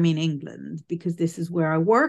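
A woman with a British accent. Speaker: psychic medium. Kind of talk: casual interview chat. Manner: straight-talking, blunt.

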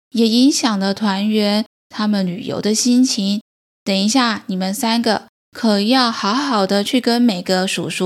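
The text is read aloud in a natural voice. The background is quiet.

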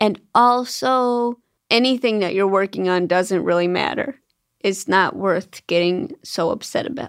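A woman's ordinary speaking voice, medium in pitch, at a fairly slow pace with ordinary pitch variation. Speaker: comedian. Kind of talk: casual chat.

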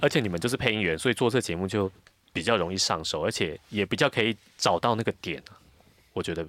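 A man talks at a very fast pace with ordinary pitch variation and long, frequent pauses. The sound is dry and close with no echo. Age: 40s. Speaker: voice actor. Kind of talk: casual chat. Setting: studio.

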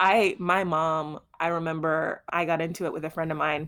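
An ordinary speaking voice with an American accent, on a very clean recording with a silent background. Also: woman. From Houston, Texas. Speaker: podcast co-host, author. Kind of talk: casual chat.

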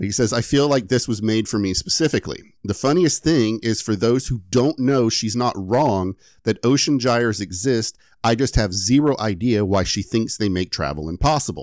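A man talks with lively intonation at a moderate pace, his pitch medium. It is a plain, everyday voice on a very clean recording with a silent background. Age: 30s. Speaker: podcast host and editor. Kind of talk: casual chat with story telling.

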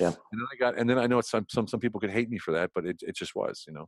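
A man with an American accent and ordinary pitch variation, recorded dry and close with no echo against a quiet background. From Central Pennsylvania, US. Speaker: entrepreneur. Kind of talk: casual interview.

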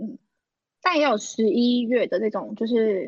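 At a fairly slow pace, a woman speaks in a fairly high voice with lively intonation. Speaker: podcast co-host, former auditor. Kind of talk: casual chat. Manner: animated, frequent laughter.

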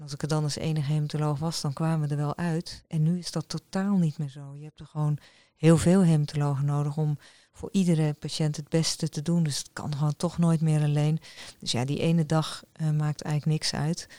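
A woman with a very deep, low pitch and a dark, mellow tone speaks fairly quickly in a monotone, flat intonation, with big swings in loudness. The recording is very clean with a silent background and a dry, close sound with no echo. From Netherlands, rural polder. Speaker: hematologist and professor. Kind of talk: interview. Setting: hospital office.

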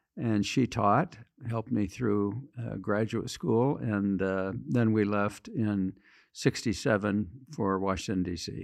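A man's fairly low voice with an American accent, ordinary pitch variation and a very slow pace against a quiet background. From western Michigan, US Midwest. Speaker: author and leadership consultant. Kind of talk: interview. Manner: halting.

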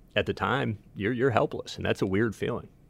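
Against a silent background in a very clean recording, a man with an American accent speaks fairly quickly in a plain, everyday voice with ordinary pitch variation. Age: 50s. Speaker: baseball team general manager. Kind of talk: casual chat.

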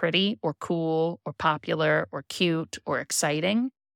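A woman's fairly low, plain, everyday voice with ordinary pitch variation, in a very clean recording with a silent background. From California, Central Coast. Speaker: artist and event stationery designer. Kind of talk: casual interview chat.

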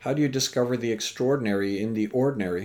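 An unremarkable speaking voice from a man, medium in pitch, with ordinary pitch variation. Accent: Canadian. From Canada. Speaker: speaker and educator. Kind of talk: interview.

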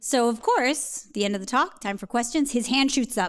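A woman's plain, everyday voice at a fairly high pitch, with ordinary pitch variation and a very clean recording with a silent background. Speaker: astronomer. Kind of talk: personal storytelling on stage. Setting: stage with small audience.

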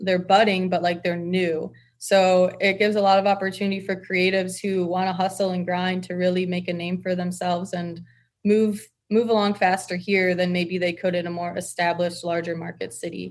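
Against a quiet background, a woman with an American accent talks fairly quickly at a medium pitch in a monotone, flat intonation. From Michigan, US Midwest. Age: 20s. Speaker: fashion brand co-founder. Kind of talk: casual interview.

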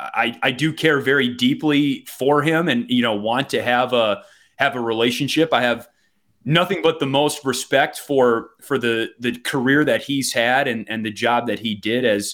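A man with a Wisconsin accent speaks at a moderate pace in a medium pitch with ordinary pitch variation, on a very clean recording with a silent background. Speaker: hockey play-by-play announcer. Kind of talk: casual interview.

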